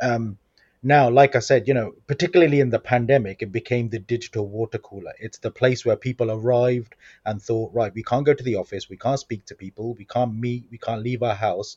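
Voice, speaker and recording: A somewhat breathy man's voice of medium pitch, fairly quick and fairly even in intonation, with big swings in loudness, in a dry, close sound with no echo. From Coventry, English Midlands. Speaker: social media trainer. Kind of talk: podcast interview.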